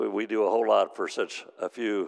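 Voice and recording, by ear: Speaking at a fairly quick pace, a man uses a fairly low pitch with vocal fry.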